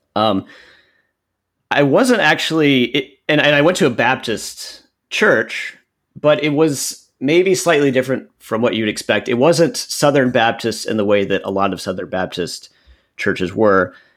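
Over a very clean recording with a silent background, a man speaks at a fairly slow pace with an American accent. His voice sits at a medium pitch and swings very widely. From central Texas. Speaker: historian with a PhD. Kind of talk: casual interview.

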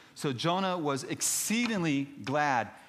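A man speaks in lively intonation, with room echo clearly audible. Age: 50s. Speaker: missionary preacher. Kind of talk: sermon.

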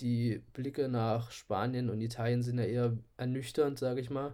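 In a dark, mellow tone, a man speaks at a medium pitch with fairly even intonation. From Saxony-Anhalt, Köthen area. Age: 20s. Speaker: podcast co-host, chemistry student and photographer. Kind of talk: casual chat. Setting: remote recording from home.

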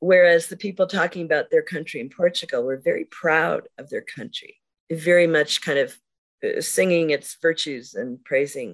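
A woman with a plain, everyday voice speaks at a fairly low pitch with ordinary pitch variation and big swings in loudness, over a quiet background. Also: moderate pace. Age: 60s. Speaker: poet. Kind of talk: casual chat.

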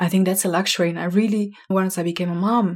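A woman speaks with a Slovenian accent at a medium pitch. Her voice is somewhat breathy, and her intonation stays fairly even. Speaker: podcast host, learning experience designer. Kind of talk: solo podcast monologue.

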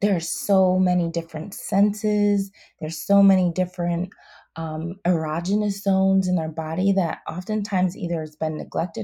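On a very clean recording with a silent background, a woman speaks at a moderate pace in a fairly low, somewhat breathy voice with a dark, mellow tone and monotone, flat intonation. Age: 30s. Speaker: clinical sexologist and therapist. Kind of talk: interview. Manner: hesitant, many fillers.

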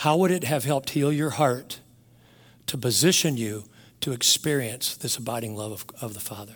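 Speaking at a moderate pace in a normal speaking voice, a man with a medium pitch shows big swings in loudness. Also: ordinary pitch variation. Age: 60s. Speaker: pastor. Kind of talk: sermon.

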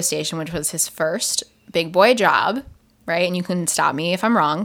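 A woman speaks at a fairly slow pace in a medium pitch, with ordinary pitch variation and an unremarkable speaking voice. The recording is very clean, with a silent background. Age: 20s. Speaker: podcast host and radio presenter. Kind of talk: casual chat, banter with partner. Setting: home, recording with a microphone.

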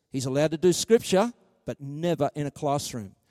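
In a very clean recording with a silent background, a man with an Australian accent speaks in a fairly high pitch with a dark, mellow tone and ordinary pitch variation, the sound dry and close with no echo. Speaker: preacher. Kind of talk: sermon.

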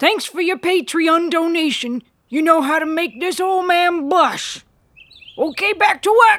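The speaker puts on a character voice, pitched extremely high and delivered at a fairly slow pace. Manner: folksy, rambling.

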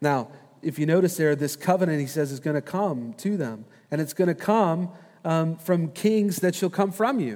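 Spoken at a moderate pace with lively intonation, this very clean recording has a silent background. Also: man. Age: 40s. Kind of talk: sermon.

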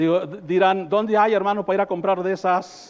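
A man's voice with a high pitch. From rural northern Mexico. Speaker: pastor. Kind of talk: sermon. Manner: animated.

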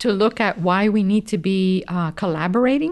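A woman's ordinary speaking voice at a medium pitch, ordinary pitch variation, quiet background. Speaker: professor and co-host. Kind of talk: casual podcast conversation.

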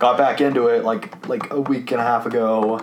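Against noticeable background noise, the speaker keeps a fairly even intonation. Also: man. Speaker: guest, college student and developer. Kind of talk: casual conversation.

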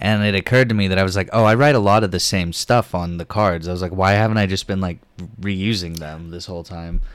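In a very clean recording with a silent background, a man with an American accent talks very fast in an animated tone at a very deep, low pitch. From Oklahoma, US. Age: 20s. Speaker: podcast host, comedian. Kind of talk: casual chat. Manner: animated, laughs a lot.

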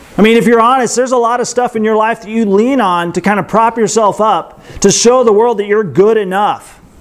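A man's high voice at a fairly quick pace with fairly even intonation, over noticeable background noise. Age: 40s. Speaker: pastor. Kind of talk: sermon. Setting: outdoor yurt church gathering.

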